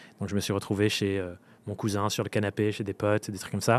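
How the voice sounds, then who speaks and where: The speaker is a man. His pitch is fairly low. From France, Dordogne. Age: 20s. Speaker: freelance coach and podcaster. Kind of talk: casual interview. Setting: live recording at a festival with audience.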